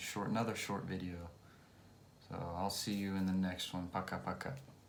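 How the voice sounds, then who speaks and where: In an American accent, a man with a very deep, low pitch speaks with fairly even intonation, and room echo is audible. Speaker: English teacher. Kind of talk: tutorial. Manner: slow; clear.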